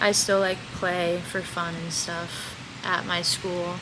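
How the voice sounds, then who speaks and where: Speaking very slowly at a medium pitch, a woman is heard with audible room echo and noticeable background noise. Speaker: podcast co-host, college athlete. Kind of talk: casual chat.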